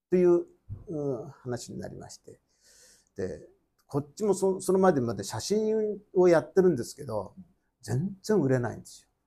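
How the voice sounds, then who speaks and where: A man speaks at a moderate pace with a high pitch and a dark, mellow tone. His pitch swings very widely, his loudness swings a lot, and he pauses long and often. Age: 70s. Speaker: company founder, photographer's son. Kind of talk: talk show conversation. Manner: halting.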